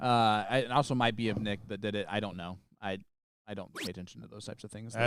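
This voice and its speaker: Talking at a very fast pace with a fairly low pitch, a man with an Indiana accent keeps a fairly even intonation while his loudness swings widely, in a very clean recording with a silent background. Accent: Hoosier. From Indiana, Midwestern US.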